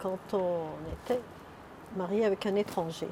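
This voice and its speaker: The speaker is a woman with a medium-pitched voice. Noticeable background noise runs behind her. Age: 70s. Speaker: retired nurse. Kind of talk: personal testimony.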